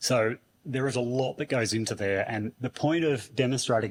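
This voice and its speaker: Moderate pace and ordinary pitch variation from a male speaker using an ordinary speaking voice. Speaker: conference speaker. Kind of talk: conference talk. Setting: stage with audience.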